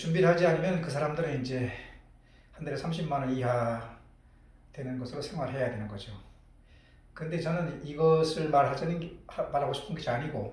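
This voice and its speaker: A man's fairly high, ordinarily varied voice at a fairly quick pace, with long, frequent pauses and audible room echo. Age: 60s. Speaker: doctor. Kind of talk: personal monologue vlog. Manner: hesitant, many fillers.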